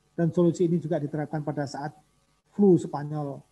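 Talking at a very fast pace, a man has a fairly high, somewhat breathy voice with a dark, mellow tone and monotone, flat intonation. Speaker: government official. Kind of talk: formal speech. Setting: video call. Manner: formal. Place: meeting room. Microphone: podium.

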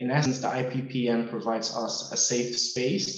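Audible room echo surrounds a man as he speaks. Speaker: webinar host. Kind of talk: formal webinar introduction. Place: office. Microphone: video call.

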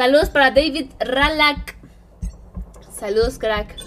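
Faint music plays behind a woman who speaks in an animated tone at a fairly slow pace and high pitch. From Mexico, State of Mexico (Edomex). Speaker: gaming streamer. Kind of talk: live gaming stream chat. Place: home room.

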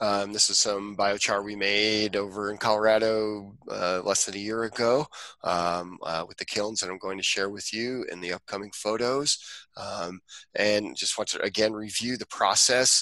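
In a normal speaking voice, a man talks at a moderate pace and fairly low pitch with fairly even intonation, the sound dry with no echo and the background quiet. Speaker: presenter. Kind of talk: lecture. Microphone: headset.

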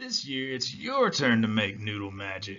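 This put-on character voice moves at a moderate pace with fairly even intonation. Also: man. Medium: read story. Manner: calm, gentle, warm.

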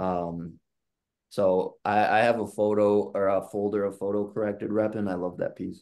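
The tone is dark and mellow. The background stays quiet. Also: man. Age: 30s. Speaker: illustrator. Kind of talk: casual chat. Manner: talkative.

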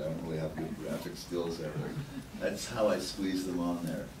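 Over noticeable background noise, a voice with an American accent speaks with ordinary pitch variation. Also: man. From New York. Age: middle-aged. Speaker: writer and curator. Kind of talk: lecture. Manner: casual. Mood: relaxed, self-deprecating. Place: meeting room.

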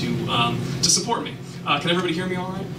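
Through loud background noise comes a man's voice with a fairly high pitch. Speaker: social worker and spoken word poet. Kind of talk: live lecture performance to an audience. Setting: live venue with audience. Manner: casual, conversational with fillers. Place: stage.

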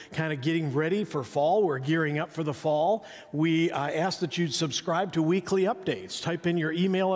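A man talks at a moderate pace, his pitch shifting in an ordinary way. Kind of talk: church announcements. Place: church.

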